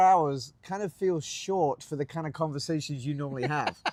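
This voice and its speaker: With lively intonation, a man speaks in an English accent. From England, Colchester, Essex. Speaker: pastor. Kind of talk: casual interview. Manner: animated.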